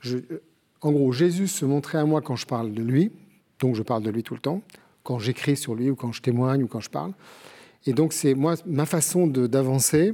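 A man with a fairly high pitch and a dark, mellow tone speaks at a moderate pace with ordinary pitch variation and long, frequent pauses on a very clean recording with a silent background. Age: 60s. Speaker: television producer and author. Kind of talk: book discussion on TV. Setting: TV studio.

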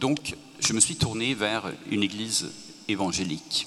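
With a Swedish accent, a man speaks at a medium pitch with ordinary pitch variation. Noticeable background noise is present. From Sweden. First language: Swedish (speaking French). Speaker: author. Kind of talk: panel discussion.

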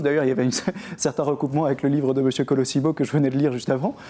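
A man speaks in a dark, mellow tone. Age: 30s. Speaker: Dominican priest and teacher. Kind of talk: studio book discussion. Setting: TV studio set in a bookshop.

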